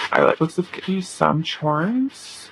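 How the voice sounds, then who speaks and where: At a very slow pace, a woman is heard amid noticeable background noise. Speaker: tarot reader. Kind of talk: tarot reading. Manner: casual, filler-heavy.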